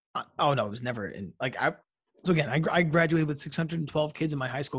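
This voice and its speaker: Against a quiet background, a man with an American accent has a plain, everyday voice. He moves at a fairly quick pace with ordinary pitch variation. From New York suburbs, US. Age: 30s. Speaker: journalist and author. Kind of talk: casual interview chat.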